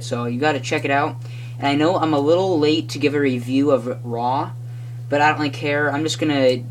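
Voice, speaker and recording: Here is a plain, everyday voice. It moves at a fairly quick pace. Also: man. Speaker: wrestling show reviewer. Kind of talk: casual talk to camera.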